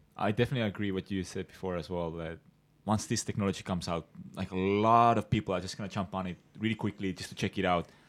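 A man's very deep, low voice in a Ukrainian accent, very fast, with fairly even intonation, on a very clean recording against a silent background. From Ukraine, Kyiv. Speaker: podcast co-host. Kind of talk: casual chat.

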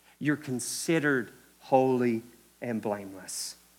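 A man speaks at a fairly slow pace with a Kentucky accent, his pitch medium and its variation ordinary. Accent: Kentucky Southern US. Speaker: preacher. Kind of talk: sermon. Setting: church. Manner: animated.

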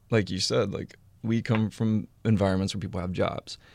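A man with an American accent has a plain, everyday voice and fairly even intonation at a fairly quick pace. The recording is very clean, with a silent background. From Houston, Texas. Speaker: cookbook author and food photographer. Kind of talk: casual chat.

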